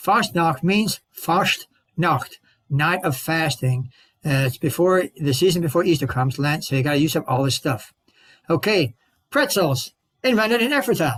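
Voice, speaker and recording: A man's fairly high voice with lively intonation at a moderate pace, very even in loudness, in a dry, close sound with no echo. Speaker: presenter on local heritage. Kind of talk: talk at a club meeting. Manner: animated.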